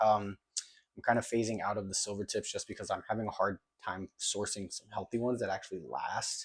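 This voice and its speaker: A man's quiet, fairly quick speech in a dry, close sound with no echo. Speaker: fish keeping youtuber. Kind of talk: casual vlog tutorial. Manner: quiet, hushed.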